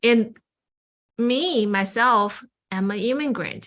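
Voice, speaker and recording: Speaking with a Chinese accent, a woman has a bright, sharp tone and ordinary pitch variation on a very clean recording with a silent background. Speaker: Buddhist chaplain. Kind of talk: personal testimony.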